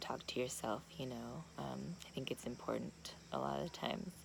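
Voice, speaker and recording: A woman speaks quietly at a fairly slow pace. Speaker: vlogger at ayahuasca retreat. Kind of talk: confessional video diary. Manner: quiet, talking low; halting, many fillers.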